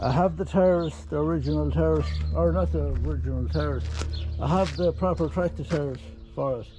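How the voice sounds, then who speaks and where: A man at a moderate pace, with a dry sound with no echo and noticeable background noise. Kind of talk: casual vlog chat. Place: farm machine. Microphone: phone near.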